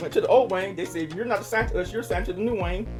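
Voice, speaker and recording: A woman is talking. Music can be heard behind her. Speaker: registered nurse. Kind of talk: interview storytelling.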